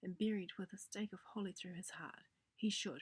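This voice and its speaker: A soft-spoken, somewhat breathy woman with fairly even intonation. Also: dry, close sound with no echo. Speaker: narrator. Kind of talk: audiobook reading.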